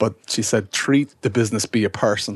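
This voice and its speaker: Somewhat breathy, a man talks at a moderate pace with a fairly low pitch and fairly even intonation. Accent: Irish. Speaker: businessman, brother of the host. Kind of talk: casual chat. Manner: teasing, bantering.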